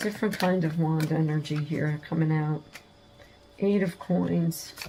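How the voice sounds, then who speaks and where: A woman speaks with a very deep, low pitch at a fairly slow pace, her loudness very even and her intonation fairly even. Noticeable background noise is present. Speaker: tarot reader. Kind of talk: tarot reading. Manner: casual, halting with fillers.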